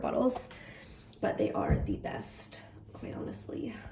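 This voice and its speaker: Noticeable background noise is present throughout. Over it, the voice belongs to a woman. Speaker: graduate student. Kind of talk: casual vlog talk to camera.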